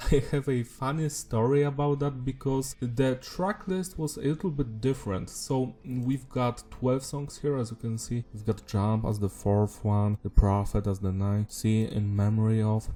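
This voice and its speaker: Against noticeable background noise, the speaker talks at a moderate pace with a non-native accent, ordinary pitch variation and hardly any pauses. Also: man, medium pitch for a man. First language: not English. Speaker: music reviewer. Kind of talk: album review monologue. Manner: casual.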